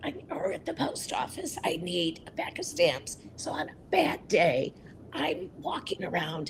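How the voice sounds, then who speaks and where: Noticeable background noise sits under the speech. A woman delivers it at a fairly slow pace. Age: 60s. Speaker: advocate for people with voice disorders. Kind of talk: interview.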